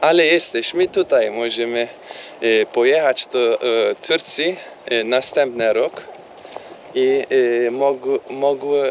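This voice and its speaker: Amid noticeable background noise, a man with a non-native accent speaks very slowly with long, frequent pauses. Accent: non-native Polish, weak command. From Turkey. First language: Turkish (speaking Polish). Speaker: vlogger. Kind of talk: casual chat. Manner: halting, many fillers and English switches.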